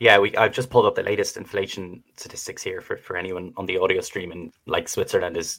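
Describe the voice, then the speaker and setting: With an Irish accent, a man speaks. His pace is very fast. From Ireland. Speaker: podcast host. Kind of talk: podcast interview.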